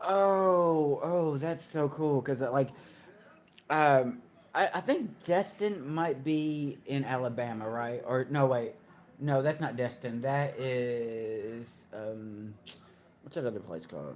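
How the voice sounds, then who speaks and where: The speaker has a Kentucky accent. The pace is very slow. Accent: US Southern (Kentucky). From Kentucky, Russellville. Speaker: live streamer. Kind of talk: casual chat. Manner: halting.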